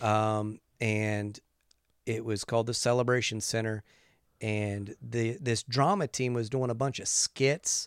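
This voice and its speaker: In a normal speaking voice, a man at medium pitch talks at a fairly slow pace with fairly even intonation, the sound dry and close with no echo on a very clean recording with a silent background. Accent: American. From West Virginia. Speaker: pastor and musician. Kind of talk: casual interview. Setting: studio.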